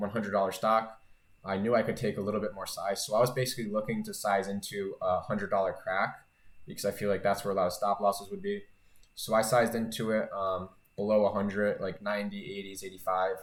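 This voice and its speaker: A man talking at a very fast pace, in a very clean recording with a silent background. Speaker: day trader and YouTuber. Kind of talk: monthly trading recap video. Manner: casual, filler-heavy.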